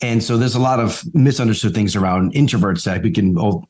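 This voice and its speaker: Speaking at a very fast pace with an American accent, a man keeps a medium pitch and ordinary pitch variation. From Bronx, New York. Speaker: author and pricing CEO. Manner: conversational, repeats 'right'.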